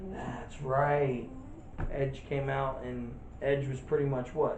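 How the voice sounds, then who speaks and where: In a room with audible echo, a man speaks at a fairly slow pace in a medium pitch, his intonation monotone and flat. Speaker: wrestling podcast co-host. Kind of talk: casual chat. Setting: empty room, no audience.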